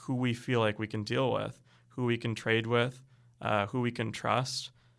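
On a very clean recording with a silent background, a man with a Canadian accent speaks in a monotone, flat way at medium pitch and a moderate pace. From Canada. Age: 20s. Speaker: graduate student and political candidate. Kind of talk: interview. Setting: studio.

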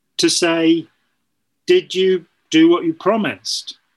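This man has a high pitch and lively intonation. He speaks with a British accent. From United Kingdom. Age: 60s. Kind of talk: casual chat.

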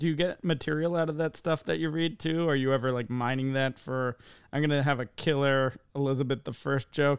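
Over a quiet background comes a normal speaking voice with fairly even intonation. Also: man, fairly high pitch for a man. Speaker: podcast co-host. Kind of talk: casual interview chat. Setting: video call.

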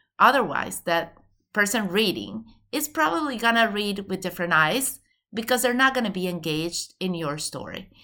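Speaking at a moderate pace, a woman has a bright, sharp tone, medium pitch and lively intonation in a very clean recording with a silent background. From Venezuela. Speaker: college admissions consultant. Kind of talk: interview.

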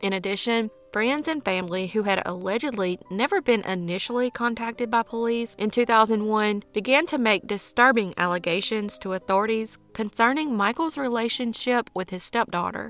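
Speaking at a moderate pace with hardly any pauses, a woman has a fairly high pitch and ordinary pitch variation. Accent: Southern US. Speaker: true crime podcaster. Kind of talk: true-crime narration, scripted-sounding storytelling read in a steady, serious tone. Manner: even, measured, earnest narrator's delivery; dramatic, judgmental asides about the 'crazy' ex.

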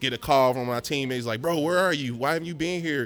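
A man talks at a very fast pace with ordinary pitch variation. Music plays in the background. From Cincinnati area, Ohio, US Midwest. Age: 30s. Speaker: podcast host. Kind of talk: casual chat.

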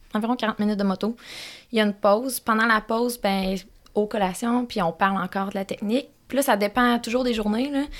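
A woman talks at a fairly quick pace in a plain, everyday voice, her fairly high pitch held to a fairly even intonation. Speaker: motocross track co-owner and coach. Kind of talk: casual chat. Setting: studio.

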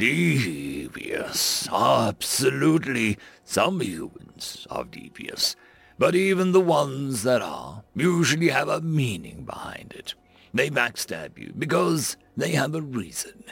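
A man puts on a character voice at a fairly high pitch. He goes at a fairly slow pace. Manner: stern, lecturing, growing fierce.

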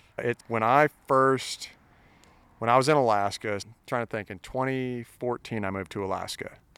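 In an American accent, a man speaks at medium pitch and a moderate pace with fairly even intonation, the sound dry and close with no echo. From US Midwest. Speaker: country singer. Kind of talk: casual chat. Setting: outdoors.

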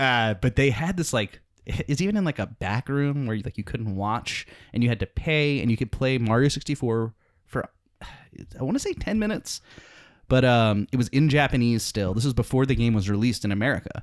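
An unremarkable speaking voice from a man at medium pitch, fairly quick in pace with ordinary pitch variation, dry and close with no echo on a very clean recording against a silent background. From US South, New Orleans. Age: 30s. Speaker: comedian. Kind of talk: casual chat.

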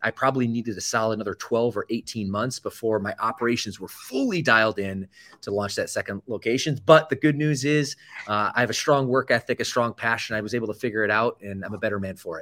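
A man with an American accent and an ordinary speaking voice, medium-pitched, fairly quick, with ordinary pitch variation. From US, Atlanta suburb then Michigan. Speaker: fitness franchise CEO. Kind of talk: interview.

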